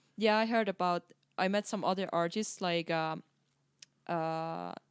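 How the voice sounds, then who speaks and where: Speaking with a Finnish accent, a woman uses a fairly low pitch and fairly even intonation at a fairly slow pace. The recording is very clean with a silent background, and the sound is dry and close with no echo. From eastern Finland. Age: 20s. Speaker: circus performer, freestyle footballer. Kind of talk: casual interview chat. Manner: hesitant, many fillers.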